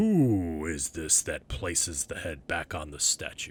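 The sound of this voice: A man puts on a booming character voice with a very deep, low pitch. He speaks at a fairly slow pace.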